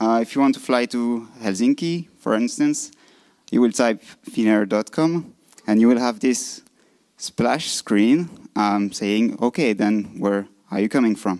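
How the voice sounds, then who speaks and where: A man speaks in a French-Swiss accent at a fairly slow pace. His pitch varies in an ordinary way. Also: medium pitch for a man. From French-speaking Switzerland. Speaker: design conference speaker. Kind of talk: lightning talk presentation. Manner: halting.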